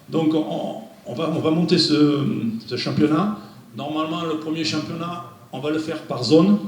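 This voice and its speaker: A man with a fairly high voice is heard through audible room echo and noticeable background noise. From France. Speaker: football technical director. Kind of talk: presentation. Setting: meeting room without microphone.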